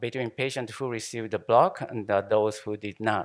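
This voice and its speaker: Over a quiet background, a man talks with a Japanese accent. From Japan, Shimane. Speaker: anesthesiologist, professor. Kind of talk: conference lecture. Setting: conference hall with audience. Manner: halting, many fillers and repetitions. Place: hall.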